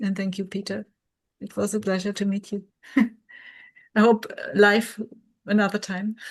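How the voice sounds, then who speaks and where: A woman speaks at medium pitch with a monotone, flat intonation and a somewhat breathy quality. Her loudness swings widely, and her pace is fairly slow. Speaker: workshop participant. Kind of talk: video call group discussion. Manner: halting.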